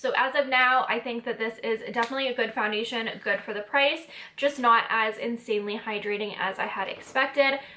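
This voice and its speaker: Over noticeable background noise, a woman speaks at a fairly quick pace with a fairly high pitch and fairly even intonation. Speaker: beauty vlogger. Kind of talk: product review vlog. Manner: soft-spoken.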